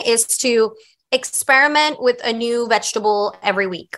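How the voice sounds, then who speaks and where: This woman talks at a fairly slow pace with a high pitch. Her tone is bright, sharp and animated. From Staten Island, New York. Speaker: chef. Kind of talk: casual chat.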